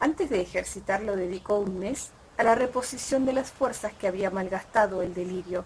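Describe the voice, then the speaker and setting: A woman's somewhat breathy voice in an Argentine accent, medium pitch, moderate pace. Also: ordinary pitch variation. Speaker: audiobook reader. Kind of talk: short story reading. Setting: outdoors.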